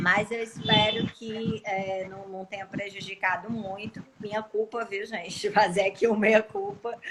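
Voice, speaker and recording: Against noticeable background noise, a woman at a medium pitch speaks fairly slowly in a flat monotone with hardly any pauses and big swings in loudness. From Cariri region, Ceará, Brazil. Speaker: law professor and lawyer. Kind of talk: casual live stream chat.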